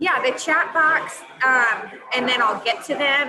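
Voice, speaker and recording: Noticeable background noise sits behind a woman's high-pitched voice. She speaks at a fairly slow pace. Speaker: guest speaker. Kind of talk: casual chat. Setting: video call from outdoors.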